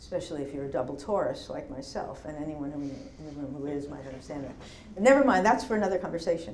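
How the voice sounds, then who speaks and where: A woman with a New York accent speaks over noticeable background noise, with audible room echo. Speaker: poet. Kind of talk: Q&A after a poetry reading. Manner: thoughtful, slightly halting.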